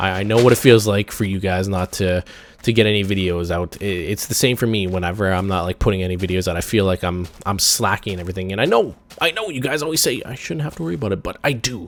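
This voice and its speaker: Speaking at a very fast pace, a man uses a fairly low voice. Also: ordinary pitch variation. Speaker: gaming YouTuber. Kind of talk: let's play commentary. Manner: halting, repetitive stammering.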